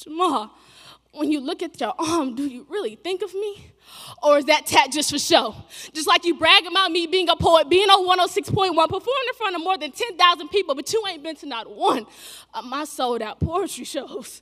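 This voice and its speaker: Over background music, a woman projects a raised voice at an extremely high pitch, her intonation lively. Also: moderate pace. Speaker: spoken word poet. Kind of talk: spoken word poetry performance. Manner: impassioned, rhythmic, emotionally charged delivery.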